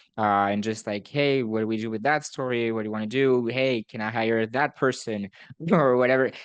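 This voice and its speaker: With a non-native accent, a man talks at a fairly quick pace, his pitch medium and his intonation fairly even. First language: not English. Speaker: student newspaper editor-in-chief and podcast host. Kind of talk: casual podcast conversation.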